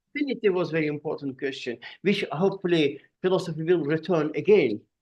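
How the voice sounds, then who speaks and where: A man talks at a very fast pace with a fairly high pitch. He has ordinary pitch variation and an Azerbaijani accent. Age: 60s. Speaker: artist and philosopher. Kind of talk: podcast conversation. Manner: halting.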